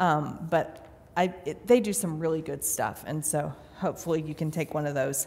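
The speech has ordinary pitch variation and moves at a moderate pace. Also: woman, very deep, low pitch for a woman. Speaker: pastor. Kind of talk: sermon. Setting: church. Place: church.

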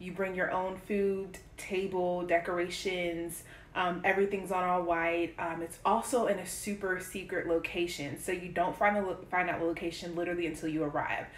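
Flat, monotone speech at a moderate pace, with audible room echo and light background noise. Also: woman, fairly low pitch for a woman. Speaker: vlogger. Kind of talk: casual vlog chat. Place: kitchen. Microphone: phone near.

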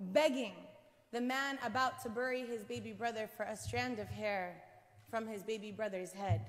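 A woman speaks with an American accent. She talks at a fairly slow pace with ordinary pitch variation. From United States, Palestinian family. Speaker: professor and activist speaker; professor, speaker. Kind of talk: speech. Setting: church with audience, streamed. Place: hall. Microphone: podium.

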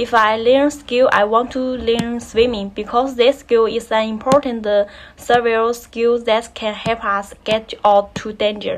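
A woman reads at a fairly high pitch with a Chinese accent. Her intonation is monotone and flat, and her pace is fairly slow. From China, Anhui province. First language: Mandarin Chinese. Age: 20s. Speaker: graduate student. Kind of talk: recorded self-introduction assignment. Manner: halting, many fillers. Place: home room. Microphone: phone near.

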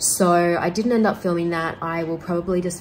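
A fairly low-pitched woman with an Australian accent at a moderate pace, music playing in the background. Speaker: lifestyle vlogger. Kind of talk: casual vlog talk to camera. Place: home room. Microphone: phone near.

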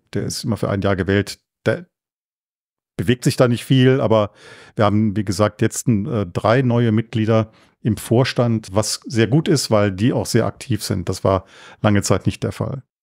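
A man speaks at a moderate pace with ordinary pitch variation and long, frequent pauses, recorded very cleanly against a silent background. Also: fairly low pitch for a man. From Germany, Cologne. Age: 60s. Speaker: culture association chairman. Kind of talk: interview.

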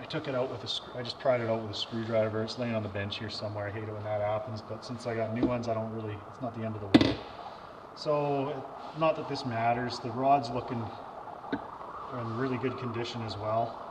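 Noticeable background noise around a man speaking fairly quickly. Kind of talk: tutorial. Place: garage. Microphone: camera far.

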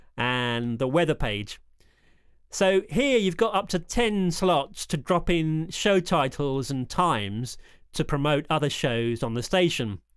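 The recording is very clean, with a silent background, as a man talks in a plain, everyday voice. His pitch is fairly high, his pace fairly slow, and his intonation lively. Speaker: hospital radio engineer. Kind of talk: demo walkthrough with sample radio DJ links. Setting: screen recording walkthrough. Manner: upbeat, chirpy DJ patter in the sample links.

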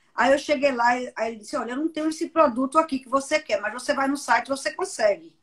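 Against a quiet background, a woman talks at a very fast pace with hardly any pauses. Her high-pitched, animated voice swings widely in loudness. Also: ordinary pitch variation. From Pernambuco, Brazil. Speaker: interviewer and communications professional; interviewer. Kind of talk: live interview. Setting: online live stream. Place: home room. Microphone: video call.

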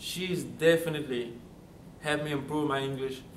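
A man's fairly high voice with a Central African accent and fairly even intonation, with audible room echo and light background noise. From Gabon, Central Africa. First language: French. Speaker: college student. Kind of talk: testimonial interview answer. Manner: halting, many fillers. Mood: warm, grateful. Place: studio.

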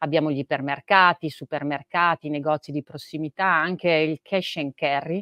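At a moderate pace, a woman speaks with a very deep, low pitch and ordinary pitch variation, in dry sound with no echo over a quiet background. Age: 40s. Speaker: chief digital officer at a retailer. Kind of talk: interview. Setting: live event in the metaverse. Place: office. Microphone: video call.

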